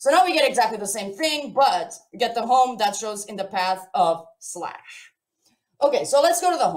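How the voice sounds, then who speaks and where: A woman at a fairly high pitch and moderate pace, with very wide pitch swings, big swings in loudness and audible room echo. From Portugal. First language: Portuguese. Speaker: software developer, conference speaker. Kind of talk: live coding tutorial at online conference. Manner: casual, chatty.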